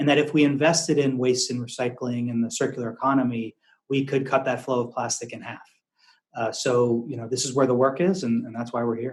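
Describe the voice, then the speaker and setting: The delivery comes at a fairly quick pace in an American accent, with fairly even intonation. Loudness swings widely. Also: man, medium pitch for a man. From US Northeast, Massachusetts near Boston. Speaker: investment firm founder. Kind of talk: podcast interview. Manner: hesitant, many fillers.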